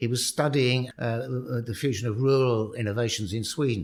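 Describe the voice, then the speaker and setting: A man with a London accent speaks with a lively, bouncing intonation. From London, England. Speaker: professor. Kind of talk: podcast interview. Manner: halting, repeats words.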